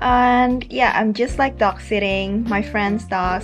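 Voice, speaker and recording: Faint music plays behind a woman talking at a moderate pace. Her pitch varies in an ordinary way. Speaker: travel vlogger. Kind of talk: casual vlog chat. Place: home room. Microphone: phone near.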